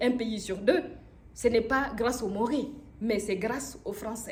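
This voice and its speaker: A woman with a strong African accent at a fairly slow pace, with audible room echo. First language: Mooré (speaking French). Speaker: comedian. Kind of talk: speech.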